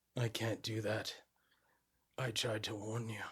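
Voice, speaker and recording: In a raspy, put-on character voice, a man speaks at a medium pitch and a moderate pace with monotone, flat intonation. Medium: actual play. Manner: terse, ominous.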